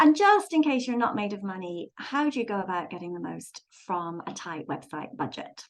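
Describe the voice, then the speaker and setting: A woman with an English accent speaks at a moderate pace and medium pitch, with very wide pitch swings and big swings in loudness. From London, England. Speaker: website designer and author. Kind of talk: presentation. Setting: video call. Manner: frequent filler words.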